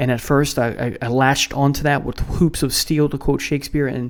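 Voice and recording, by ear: Speaking at a fairly quick pace, the man holds a medium pitch with little pitch movement.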